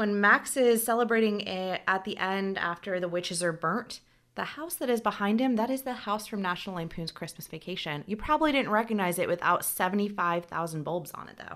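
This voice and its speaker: With a plain, everyday voice and an American accent, a woman talks at a fairly quick pace with hardly any pauses, medium pitch, and lively intonation on a very clean recording with a silent background. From US South. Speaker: podcast co-host. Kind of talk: casual chat.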